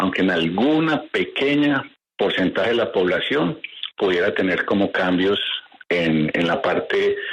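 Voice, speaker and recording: A man speaks over noticeable background noise. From Colombia. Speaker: doctor. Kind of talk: expert interview.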